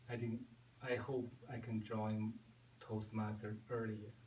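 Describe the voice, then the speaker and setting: Very slowly, a man talks in a monotone, flat intonation at a medium pitch. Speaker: club member. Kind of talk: interview. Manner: halting.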